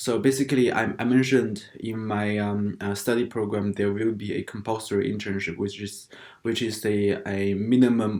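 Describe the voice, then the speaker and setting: A man with a non-native accent speaks at a moderate pace. His voice sits at a medium pitch with ordinary pitch variation. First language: not English. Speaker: international student vlogger. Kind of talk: casual vlog talk. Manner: halting, many fillers.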